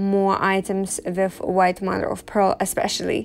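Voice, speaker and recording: At a very slow pace, a woman speaks. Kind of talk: casual vlog chat. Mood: thoughtful, calm. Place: home room.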